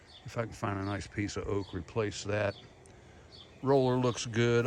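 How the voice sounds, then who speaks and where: A man speaks with an Appalachian accent in a relaxed tone. His pitch is medium and his pace moderate. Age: 70s. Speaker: video blogger. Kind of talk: casual vlog monologue. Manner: relaxed, halting with fillers.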